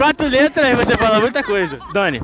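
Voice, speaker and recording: Noticeable background noise sits behind a man speaking at a very fast pace. His tone is animated, with very wide pitch swings. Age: 20s. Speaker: podcast host. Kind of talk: casual chat. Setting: outdoors at a bar in a public square.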